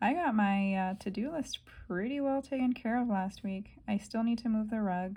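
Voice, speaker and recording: Somewhat breathy, a woman with a fairly high pitch and a dark, mellow tone talks at a moderate pace with ordinary pitch variation. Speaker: planner vlogger. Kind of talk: casual plan-with-me narration. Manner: hesitant, many fillers.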